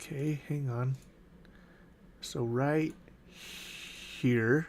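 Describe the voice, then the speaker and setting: Speaking with a Utah accent, a man keeps a fairly high pitch and fairly even intonation. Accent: Utah accent, drops T in mountain. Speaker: day trader. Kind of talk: live trading walkthrough.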